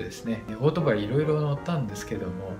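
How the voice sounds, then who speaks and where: Clear music plays in the background while the man talks. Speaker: channel host. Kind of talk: channel introduction talk. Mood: friendly, smiling. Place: home room. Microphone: phone near.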